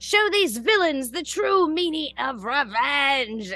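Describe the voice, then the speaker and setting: A woman shouts in a put-on character voice, squeaky and high in pitch. She delivers it at a fairly slow pace. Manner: shouting.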